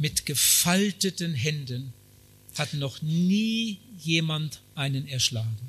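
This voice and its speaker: Speaking at a very slow pace, a man uses lively intonation at a fairly high pitch. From Germany. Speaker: preacher, missionary. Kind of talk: sermon. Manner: short phrases with pauses for interpreter.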